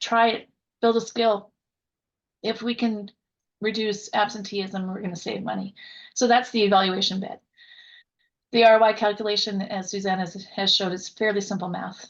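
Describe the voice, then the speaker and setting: A woman speaks at a fairly high pitch with fairly even intonation and long, frequent pauses. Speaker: workforce consultant and coach. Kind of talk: webinar presentation. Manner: fast.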